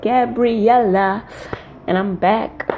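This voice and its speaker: Noticeable background noise sits behind a woman at a medium pitch. She speaks at a very slow pace. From Namibia. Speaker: amateur podcaster, university student. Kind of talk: casual monologue. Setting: bedroom.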